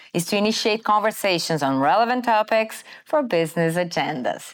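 With a Brazilian accent, a woman of medium pitch speaks at a moderate pace with lively intonation on a very clean recording with a silent background. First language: Portuguese. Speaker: podcast host. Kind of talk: scripted narration; interview. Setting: studio.

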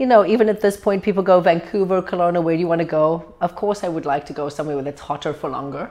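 In a South African accent, a woman with a fairly low pitch and a dark, mellow tone talks at a very fast pace. She uses hardly any pauses and ordinary pitch variation. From South Africa, Cape Town. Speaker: medical doctor. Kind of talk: interview. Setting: downtown location.

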